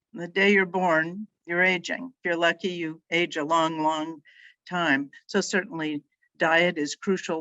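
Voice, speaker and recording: This woman has a plain, everyday voice and an American accent. Her pitch sits fairly low, and she speaks at a fairly slow pace. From Northern California. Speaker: nonprofit healthcare foundation leader. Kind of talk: interview.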